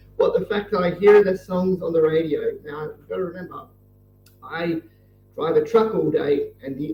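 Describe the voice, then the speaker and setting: With music in the background, a man speaks at a moderate pace in an Australian accent. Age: 30s. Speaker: truck driver and livestreamer. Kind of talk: casual chat while drawing on livestream. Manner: low-energy, subdued.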